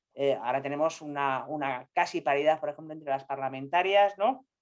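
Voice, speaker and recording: Pitch variation here is ordinary. It is a woman's voice. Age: 60s. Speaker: scientist. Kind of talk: panel discussion. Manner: halting.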